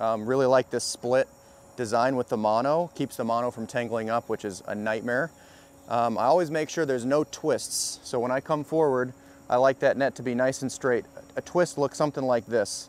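At a moderate pace, a man talks with fairly even intonation in a dry recording with no echo. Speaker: fishing instructor. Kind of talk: tutorial. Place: street. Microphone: lapel.

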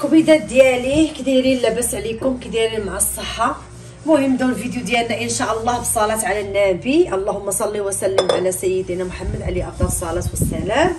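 A woman talks at a fairly quick pace with hardly any pauses. Noticeable background noise sits behind her. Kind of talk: cooking tutorial chat. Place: kitchen. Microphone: phone near.

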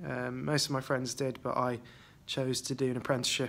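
A man with a West Midlands accent speaks at a fairly quick pace. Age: 20s. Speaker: CAD technician. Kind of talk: interview answers. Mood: relaxed, friendly. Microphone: phone near.

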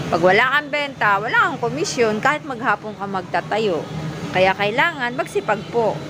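Intonation is lively at a moderate pace. Audible room echo and noticeable background noise fill the clip. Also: woman. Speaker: vlogger working as shoe vendor. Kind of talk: casual vlog narration. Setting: outdoors at a busy market. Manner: loud, calling out to customers.

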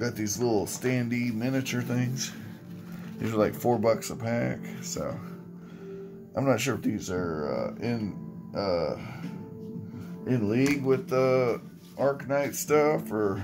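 A man talks at a very slow pace, with long, frequent pauses. Music is clearly heard in the background. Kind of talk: casual vlog chat. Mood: wry, amused. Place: home room. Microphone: phone near.

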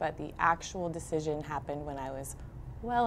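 A woman with an American accent, a very deep, low pitch and vocal fry at a moderate pace, over light background noise. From New Jersey, Brick Township; New Jersey. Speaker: high school math teacher. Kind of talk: interview monologue. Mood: warm, reflective. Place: studio.

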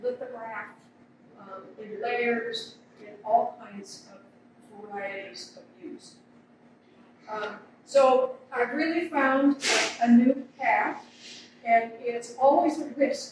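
Very slow speech with long, frequent pauses, big swings in loudness and ordinary pitch variation, in strong room echo with noticeable background noise. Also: woman, high pitch for a woman. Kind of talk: interview answer. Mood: warm, reflective. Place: hall. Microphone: camera far.

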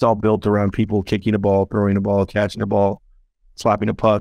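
Fairly low in pitch, a man speaks at a fairly quick pace in monotone, flat intonation. The background is quiet, and the sound is dry with no echo. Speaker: startup founder and CEO. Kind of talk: interview. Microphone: video call.

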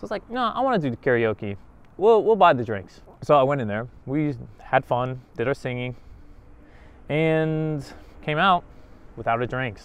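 A man speaks at a moderate pace and fairly high pitch, with very wide pitch swings. He leaves long, frequent pauses, and the sound is dry with no echo. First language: not Japanese; foreigner in Japan. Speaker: vlogger. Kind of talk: casual vlog monologue. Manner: animated. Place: street. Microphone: lapel.

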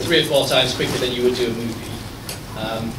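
A man talks at a fairly quick pace. Behind him is noticeable background noise. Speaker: guest. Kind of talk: interview answer. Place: hall. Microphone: camera far.

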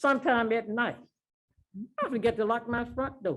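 Music plays behind a woman with an American accent who speaks at a fairly slow pace. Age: 80s+. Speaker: resident speaking at public hearing. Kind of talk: public comment at council meeting. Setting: city council meeting.

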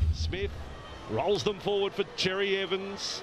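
An animated, excited man with a high pitch, in a dry sound with no echo, amid noticeable background noise. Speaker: rugby league commentator. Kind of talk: rapid-fire live play-by-play rugby commentary over match highlights. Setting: commentary box at stadium. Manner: clipped, staccato name-calling of each pass, rising to excited bursts at tries; animated, exclamatory praise of big plays. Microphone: headset.

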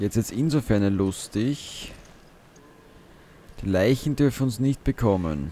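Leaving long, frequent pauses, a man with an Austrian accent speaks at a very slow pace in a fairly low, dark, mellow tone, with lively intonation and very even loudness. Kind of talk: let's play gaming commentary. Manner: casual, animated.

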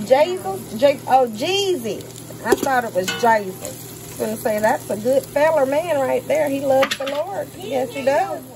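Her pitch is high and swings very widely as this woman talks at a moderate pace. Noticeable background noise runs under her voice. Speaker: home cook vlogger. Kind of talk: casual cooking tutorial. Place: kitchen. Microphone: phone near.

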